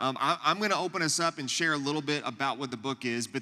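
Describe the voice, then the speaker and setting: A loud man's bright, sharp voice, fairly high in pitch, at a fairly quick pace. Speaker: youth pastor. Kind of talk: church teaching talk to audience. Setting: church luncheon with live audience. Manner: loud, projecting to room.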